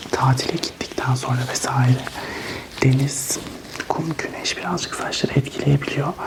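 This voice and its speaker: Whispered words come rather slowly, with noticeable background noise around them. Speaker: ASMR hairdresser role-play host. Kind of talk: ASMR role-play barber tutorial talk. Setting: binaural ASMR recording, headphones. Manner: whispered, soft.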